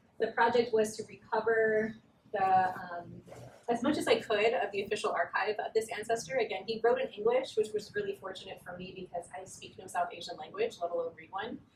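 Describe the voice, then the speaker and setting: A woman's fairly high pitch with ordinary pitch variation at a fairly quick pace, big swings in loudness, and noticeable background noise. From Southern California. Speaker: writer and researcher. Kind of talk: academic talk. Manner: hesitant, many fillers.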